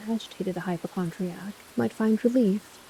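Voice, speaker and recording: Soft-spoken and calm, a woman talks in a relaxed tone at a medium pitch with ordinary pitch variation. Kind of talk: calm audiobook reading of classic literature, bedtime-story style. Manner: calm, relaxed, soft.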